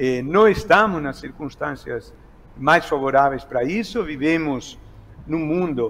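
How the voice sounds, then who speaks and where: Speaking at a fairly slow pace, a man uses a fairly high voice and lively intonation. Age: 60s. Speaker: economist. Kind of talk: interview. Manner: halting, many fillers.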